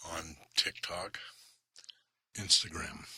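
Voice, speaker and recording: Whispering at a very slow pace, a man sounds calm and relaxed in tone. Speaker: commercial photographer. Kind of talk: ASMR-style calm storytelling to camera. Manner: calm, relaxed, non-whispered.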